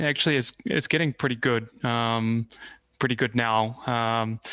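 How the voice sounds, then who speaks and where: Against a quiet background, a man with a bright, sharp tone speaks at a moderate pace in a dry, close sound with no echo. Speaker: startup CEO and open source maintainer. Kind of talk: interview.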